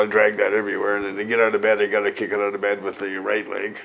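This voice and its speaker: There is noticeable background noise as a man talks very fast. He has a fairly low pitch and a Canadian prairie accent. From Saskatchewan, Canada. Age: 60s. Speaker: MS patient, medical cannabis grower. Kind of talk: interview. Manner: hesitant, with filler words.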